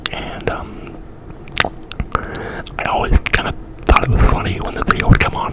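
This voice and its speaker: A whisper comes through noticeable background noise. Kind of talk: ASMR whisper video. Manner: whispered; semi-unintelligible.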